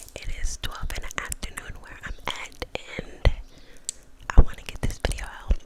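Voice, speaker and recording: Someone whispers at a moderate pace, with noticeable background noise behind them. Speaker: ASMR YouTuber. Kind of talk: whispered ASMR ramble telling a personal story. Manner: whispered, soft-spoken.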